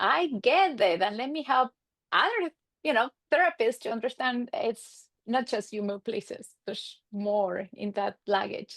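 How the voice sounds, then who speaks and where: Speaking at a fairly high pitch with an Argentine accent, a woman uses lively intonation at a fairly slow pace, recorded dry and close with no echo. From Argentina, Buenos Aires suburbs. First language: Spanish. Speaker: marriage and family therapist. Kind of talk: podcast interview.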